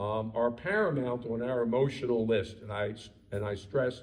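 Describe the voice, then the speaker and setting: In a room with audible echo, a man speaks in a medium pitch with fairly even intonation. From Baltimore, Maryland, US. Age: 70s. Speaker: rabbi. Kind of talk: lecture. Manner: hesitant, many fillers.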